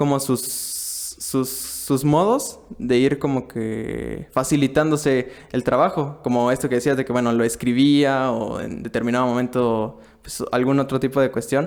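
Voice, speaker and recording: A man talks at a fairly slow pace with hardly any pauses and fairly even intonation, in an unremarkable speaking voice. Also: medium pitch for a man. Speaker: podcast host. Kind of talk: podcast host interview.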